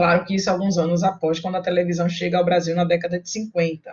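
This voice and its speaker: The speaker is a woman with a medium-pitched voice. It sounds somewhat breathy. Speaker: university lecturer. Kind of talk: online lecture.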